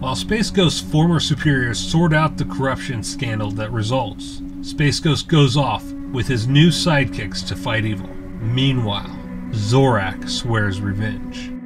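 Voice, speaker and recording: A man with an American accent and medium pitch talks with lively intonation and hardly any pauses. Music plays in the background. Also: fairly slow pace. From US Midwest. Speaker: YouTube comic and toy reviewer. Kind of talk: informational history narration.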